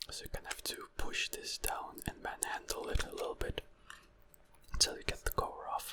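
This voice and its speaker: A man whispers at a fairly slow pace over noticeable background noise. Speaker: ASMR creator. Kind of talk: ASMR whispered assembly tutorial. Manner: whispered.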